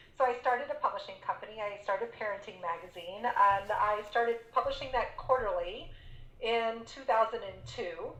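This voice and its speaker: Speaking at a fairly quick pace with an American accent, a woman is heard with audible room echo. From Texas, San Antonio. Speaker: business coach and entrepreneur. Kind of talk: interview.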